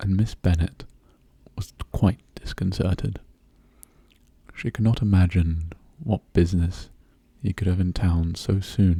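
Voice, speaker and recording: Soft-spoken, somewhat breathy speech with a calm, gentle tone and a dark, mellow quality, at a fairly slow pace with ordinary pitch variation and long, frequent pauses. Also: man, very deep, low pitch for a man. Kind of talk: soft-spoken ASMR audiobook reading of a classic novel. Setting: intimate close-mic recording for relaxation and sleep. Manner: soft-spoken, calm, gentle.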